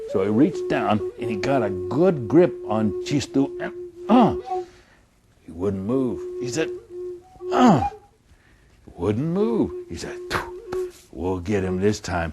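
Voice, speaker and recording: A man speaks very slowly over background music, with long, frequent pauses and big swings in loudness. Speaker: traditional storyteller. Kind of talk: storytelling to an audience.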